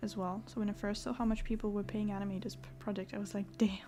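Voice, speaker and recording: Speaking very fast with a French accent, a woman has a medium pitch, a dark, mellow tone, somewhat breathy delivery and fairly even intonation. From France. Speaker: artist streamer. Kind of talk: casual chat. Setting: livestream.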